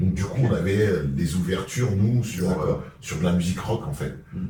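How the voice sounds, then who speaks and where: This man talks at a moderate pace. Background noise is noticeable. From Vitry-sur-Seine, France. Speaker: rapper and actor. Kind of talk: interview answer. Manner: casual.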